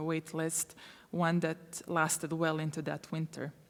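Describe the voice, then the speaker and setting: A woman with a Croatian accent, a fairly low pitch and a moderate pace. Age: 30s. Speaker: refugee aid worker. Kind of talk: conference talk. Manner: halting, many fillers.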